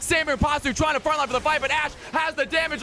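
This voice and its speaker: Over noticeable background noise, a man is shouting at a very fast pace, his raised, projected voice carrying an animated tone. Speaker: streamer and shoutcaster. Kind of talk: live esports commentary. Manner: loud, yelling; fast, animated.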